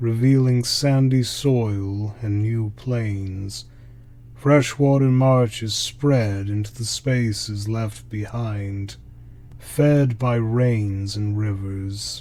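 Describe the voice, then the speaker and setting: Soft-spoken and somewhat breathy, the man talks at a very slow pace in a dark, mellow tone with fairly even intonation. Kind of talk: sleep story. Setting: no background music. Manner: slow, soft-spoken.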